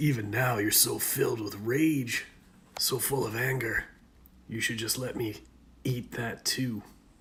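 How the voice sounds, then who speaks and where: A man puts on a raspy, hissing character voice at a medium pitch. He speaks at a fairly slow pace. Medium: solo performance. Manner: taunting, insinuating.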